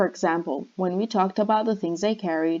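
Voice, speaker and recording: In a non-native accent, a woman talks at a fairly quick pace and medium pitch with ordinary pitch variation against a quiet background. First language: not English. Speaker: university student. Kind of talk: class presentation. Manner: scripted, read-out delivery.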